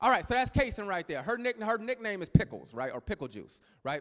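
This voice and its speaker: A man with an American accent talks at a very fast pace in an animated tone. His pitch swings very widely. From Texas. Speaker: pastor. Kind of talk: sermon. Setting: church. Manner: loud, animated.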